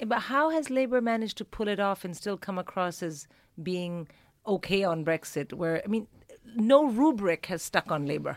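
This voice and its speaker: A woman at a medium pitch and moderate pace with very wide pitch swings, in a dry, close sound with no echo and a very clean recording with a silent background. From Philippines and India. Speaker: comedian. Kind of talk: casual chat.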